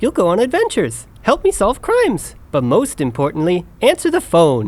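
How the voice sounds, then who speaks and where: Someone does a put-on character voice at a middle pitch and a moderate pace. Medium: audio drama.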